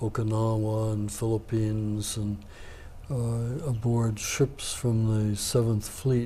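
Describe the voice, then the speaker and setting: Very slowly, a man speaks in a medium-pitched, somewhat breathy voice with a dark, mellow tone and monotone, flat intonation. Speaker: navy veteran. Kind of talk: interview answer.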